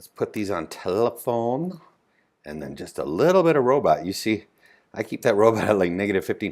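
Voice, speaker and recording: A very clean recording with a silent background carries speech delivered at a moderate pace. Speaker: animator and comedy creator. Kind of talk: live stream tutorial. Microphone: mouth too close to the microphone, bottoming out.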